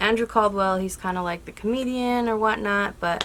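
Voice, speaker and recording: A woman speaks quietly. Her pitch varies in an ordinary way. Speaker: YouTube movie reviewer. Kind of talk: casual vlog review.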